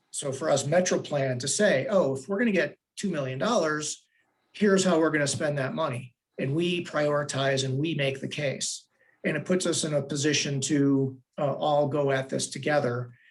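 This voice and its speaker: A man's somewhat breathy, fairly high-pitched voice at a moderate pace. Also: ordinary pitch variation. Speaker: transportation planning agency director. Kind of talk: public board meeting staff report.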